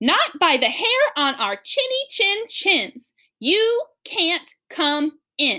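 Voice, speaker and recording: A woman puts on a character voice at an extremely high pitch, with very wide pitch swings, a very slow pace and hardly any pauses. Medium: read story. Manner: defiant.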